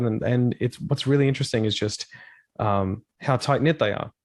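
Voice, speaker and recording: A man speaks at a very fast pace against a quiet background, with a dry, close sound and no echo. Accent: Australian. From Australia. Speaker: rock vocalist and streamer. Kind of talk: casual interview chat.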